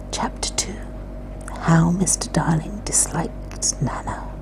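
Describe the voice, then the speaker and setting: Soft-spoken and whispering, a woman talks in a calm tone at a fairly slow pace over noticeable background noise. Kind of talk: ASMR whispered book reading. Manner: soft-spoken, whispered, calm.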